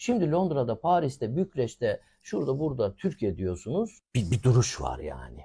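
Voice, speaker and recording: The recording is very clean with a silent background as a man talks at a moderate pace. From Turkey, rural village. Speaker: academic and expert. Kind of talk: TV interview.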